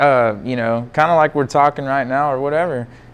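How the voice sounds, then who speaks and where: Here a man speaks with a Texan accent. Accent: Texan southern drawl. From Texas. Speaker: stainless steel fabricator and drag racer. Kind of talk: casual chat. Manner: animated.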